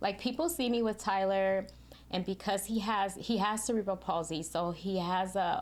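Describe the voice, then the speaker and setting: With a normal speaking voice, a woman talks at a moderate pace and medium pitch, her loudness very even and her pitch varying in an ordinary way, on a very clean recording with a silent background. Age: 50s. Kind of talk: podcast interview answer.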